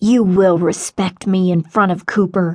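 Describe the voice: Against a quiet background, a woman does a put-on character voice that is raspy and hissing, medium-pitched, in monotone, flat intonation at a moderate pace.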